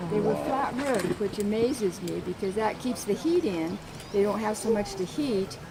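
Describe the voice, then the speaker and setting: Noticeable background noise surrounds a woman with an American accent. She speaks at a moderate pace with a medium pitch and lively intonation. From Idaho, US. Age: 70s. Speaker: tour guide. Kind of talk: walking tour talk. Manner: halting.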